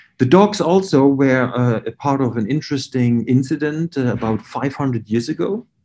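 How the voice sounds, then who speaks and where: With a German accent, a man talks at a moderate pace and medium pitch, with ordinary pitch variation and hardly any pauses. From Germany. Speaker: research scientist. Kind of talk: lecture. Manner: hesitant, many fillers.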